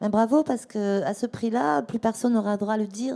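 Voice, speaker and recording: A woman speaks at a fairly quick pace with a fairly high pitch. Her tone is dark and mellow, and her pitch varies in an ordinary way. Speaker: fashion author and ethical fashion advocate. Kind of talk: panel talk with audience Q&A. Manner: fast.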